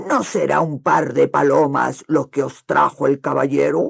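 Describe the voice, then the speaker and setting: Loud and growling, a put-on character voice moves at a fairly slow pace. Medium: read story. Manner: loud, exclaiming.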